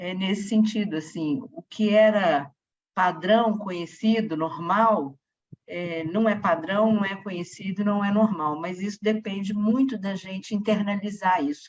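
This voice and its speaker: A woman at medium pitch speaks at a fairly slow pace with ordinary pitch variation. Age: 60s. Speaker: audience participant. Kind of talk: audience comment at a talk. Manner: halting.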